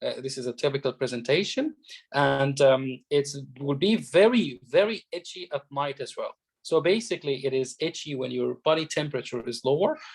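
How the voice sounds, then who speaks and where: A man with an Arabic accent, a fairly high pitch, vocal fry, ordinary pitch variation and a moderate pace. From Egypt. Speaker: doctor and medical exam tutor. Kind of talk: lecture. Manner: halting, many fillers.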